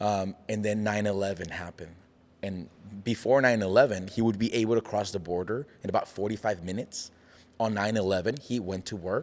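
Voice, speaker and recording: With a slight Mexican accent, this man talks at a fairly quick pace in a fairly low pitch, his intonation fairly even. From Mexico. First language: Spanish. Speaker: pastor and entrepreneur. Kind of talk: casual interview chat. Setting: studio.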